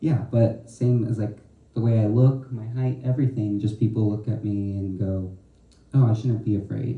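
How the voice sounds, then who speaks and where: Somewhat breathy, a man talks at a medium pitch with a dark, mellow tone. His pace is moderate and his intonation fairly even. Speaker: student poet. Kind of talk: panel discussion.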